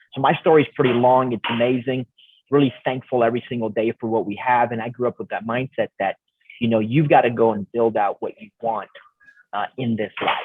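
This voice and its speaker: An ordinary speaking voice from a man, medium in pitch, at a fairly quick pace with fairly even intonation. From Canada, Romanian immigrant family. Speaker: real estate investor, coach, motivational speaker. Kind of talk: podcast interview.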